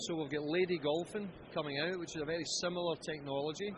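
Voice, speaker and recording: A man speaks with a Scottish accent and fairly even intonation. His pitch is fairly high. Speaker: golf club company founder. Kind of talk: interview answer.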